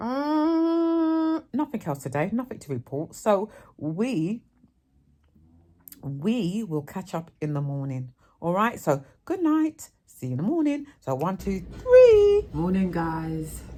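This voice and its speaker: With a London accent, a woman speaks at a very slow pace in a dark, mellow, somewhat breathy tone, her medium pitch making very wide swings, in a very clean recording with a silent background. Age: 50s. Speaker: vlogger. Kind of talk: casual vlog.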